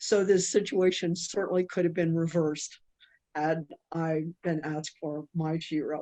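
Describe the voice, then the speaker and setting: Her voice has a dark, mellow tone and a fairly low pitch for a woman. She speaks in a monotone with flat intonation. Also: moderate pace. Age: 70s. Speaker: ballroom dancer and exhibit subject. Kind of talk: panel discussion. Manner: halting, many fillers.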